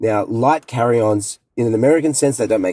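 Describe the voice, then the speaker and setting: At a fairly quick pace, a man with an Australian accent speaks in a dark, mellow tone with vocal fry. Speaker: luggage company co-founder. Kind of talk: interview. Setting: in a car.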